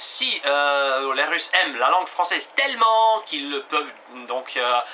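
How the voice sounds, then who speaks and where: This man has a fairly high pitch and lively intonation, speaking at a very slow pace. Background noise is noticeable. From Russia. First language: Russian (speaking French). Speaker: language teacher. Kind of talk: tutorial. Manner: halting, many hesitations.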